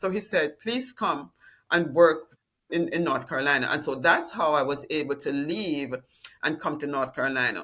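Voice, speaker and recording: A woman speaks in a Jamaican accent at a moderate pace. Her pitch is very deep and low, yet her tone is bright and sharp. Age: 70s. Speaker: retirement planning client, retired dean. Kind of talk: interview.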